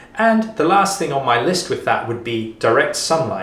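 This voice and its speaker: A man speaks at a moderate pace. Noticeable background noise and audible room echo can be heard. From Africa. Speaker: fitness coach. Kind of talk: tutorial.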